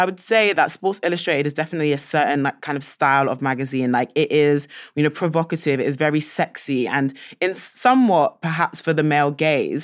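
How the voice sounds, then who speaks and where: Against a quiet background, a woman with a very deep, low pitch talks at a very fast pace with ordinary pitch variation. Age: 20s. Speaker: podcast host. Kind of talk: interview.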